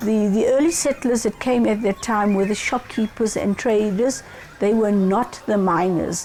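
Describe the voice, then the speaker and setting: A woman speaks at a fairly slow pace in a fairly high pitch, with fairly even intonation. Noticeable background noise runs through the recording. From South Africa. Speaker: community historian. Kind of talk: interview.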